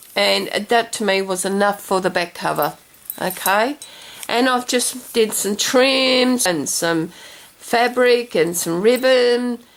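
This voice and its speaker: With noticeable background noise behind her, a woman speaks at a very slow pace. Her pitch is fairly high, with ordinary variation. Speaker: craft video maker. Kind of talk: craft tutorial. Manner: halting, stumbling with fillers.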